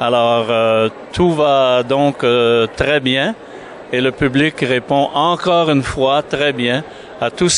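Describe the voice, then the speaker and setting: A man talks at a very slow pace while noticeable background noise plays behind him. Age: 70s. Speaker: author's godson discussing a book. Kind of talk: interview. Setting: book fair.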